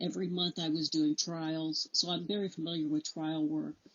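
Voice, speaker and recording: In an American accent, a woman with an ordinary speaking voice talks at a moderate pace and fairly low pitch with fairly even intonation. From Illinois. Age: 60s. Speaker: judicial candidate, attorney. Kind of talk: interview.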